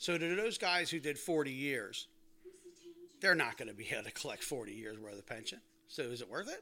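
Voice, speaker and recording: A man with an American accent speaks at a moderate pace in a fairly high pitch, with a bright, sharp tone. His pitch swings very widely and his loudness rises and falls in big swings. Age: 60s. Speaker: retired firefighter. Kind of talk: casual chat. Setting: home dining room.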